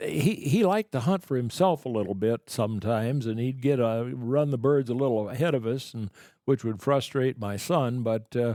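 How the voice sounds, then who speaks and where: A man speaks with a Midwestern American accent in a dark, mellow tone. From Boone, Iowa. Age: 80s+. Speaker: retired upland bird hunter. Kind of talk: podcast interview answer. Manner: hesitant, halting.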